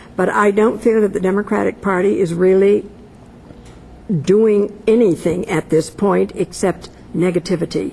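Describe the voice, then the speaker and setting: Over noticeable background noise, a woman speaks at a medium pitch with very even loudness and fairly even intonation. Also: moderate pace. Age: 70s. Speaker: political pundit. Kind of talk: panel discussion.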